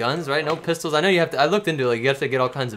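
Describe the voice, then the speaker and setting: Music in the background beneath a man talking with ordinary pitch variation. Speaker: streamer. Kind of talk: casual chat. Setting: live stream. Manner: animated.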